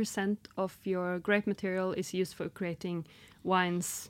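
A woman's dark, mellow voice in a Norwegian accent at a moderate pace, on a very clean recording with a silent background. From northern Norway. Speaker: podcast host. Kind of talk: casual interview chat. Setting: studio.

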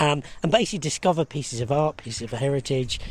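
A man's somewhat breathy voice at a very fast pace. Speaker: arts development officer. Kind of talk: interview. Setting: outdoors.

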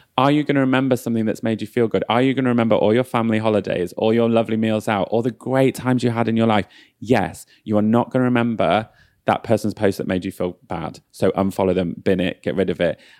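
A man with a northern English accent at a medium pitch, very fast pace and fairly even intonation, on a very clean recording with a silent background and a dry, close sound with no echo. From northern England. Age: 30s. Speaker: beauty brand founder. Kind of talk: casual chat.

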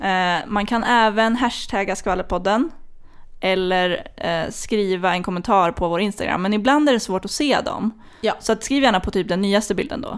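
The speaker is a woman with a medium pitch. She talks at a moderate pace, with ordinary pitch variation. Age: 20s. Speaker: podcast host. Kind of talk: casual chat.

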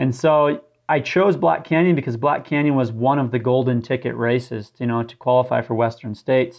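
A man with an American accent, medium pitch and a fairly quick pace. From southern Utah, US. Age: 20s. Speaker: ultramarathon runner. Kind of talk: interview. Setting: remote call from home.

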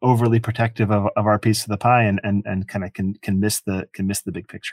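Recorded dry and close with no echo, a man speaks in a fairly low pitch with monotone, flat intonation. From Ireland. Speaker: company executive. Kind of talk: interview. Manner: halting, many repetitions and fillers.

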